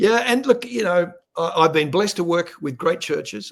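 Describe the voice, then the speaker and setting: A man at a moderate pace with an Australian accent. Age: 60s. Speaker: ministry leader and media presenter. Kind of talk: interview.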